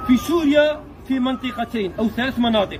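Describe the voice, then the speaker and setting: A man speaks at an extremely high pitch with ordinary pitch variation and a moderate pace. Crowd noise fills the background. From Algeria, Mostaganem province. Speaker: video blogger. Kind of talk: on-location video address. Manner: animated; halting.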